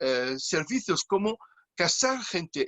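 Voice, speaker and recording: A man with a high-pitched voice speaks at a very slow pace. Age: 60s. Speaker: clown. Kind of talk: interview. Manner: halting.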